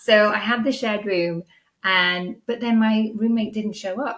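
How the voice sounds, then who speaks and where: On a very clean recording with a silent background, a woman with a Welsh accent talks at a moderate pace with fairly even intonation. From Wales. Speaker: podcast host and business coach. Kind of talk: interview answers, casual conversation.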